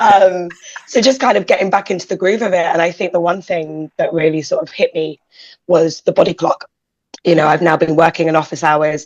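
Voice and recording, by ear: Husky-voiced, the woman talks at a fairly quick pace.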